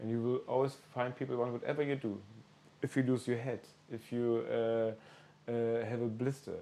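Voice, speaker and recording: A dark, mellow tone with a German accent, monotone and flat in intonation, at a moderate pace. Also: man. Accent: German-speaking accent in English. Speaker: podcast host. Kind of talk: casual interview. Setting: in person, small village on pilgrimage.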